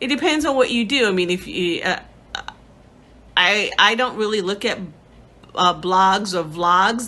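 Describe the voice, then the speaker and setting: A woman with an American accent speaks at a moderate pace and medium pitch, using lively intonation and long, frequent pauses. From New York. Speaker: theater arts educator and puppeteer. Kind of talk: interview answers, self-recorded. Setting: home video studio. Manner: articulate, professional tone; calm pace.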